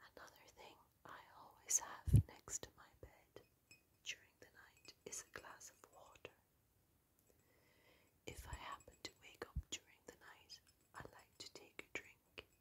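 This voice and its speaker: Whispering at a fairly slow pace, a woman takes long, frequent pauses, and her loudness swings widely. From Ireland. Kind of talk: ASMR sleep video. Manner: whispered; soft-spoken, slow.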